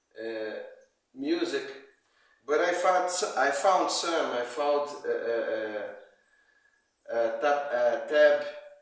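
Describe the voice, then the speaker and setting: Long, frequent pauses break up a man's very slow speech, heard with audible room echo. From Brazil. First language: Portuguese. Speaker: amateur guitar player. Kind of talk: video message to a musician. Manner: halting, many repetitions.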